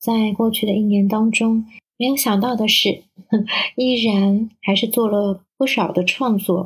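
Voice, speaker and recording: Her fairly high voice is somewhat breathy and very even in loudness. This woman's intonation is monotone and flat. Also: fairly slow pace. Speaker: perfumer and translator. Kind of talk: recorded reflection message.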